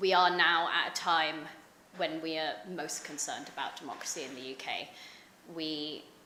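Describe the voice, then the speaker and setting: A woman talks at an average tempo, her pitch varying normally, as clear background noise and noticeable room reverberation surround her. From London, England. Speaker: think tank researcher. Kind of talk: conference talk. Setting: conference panel with audience. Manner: hesitant, many fillers.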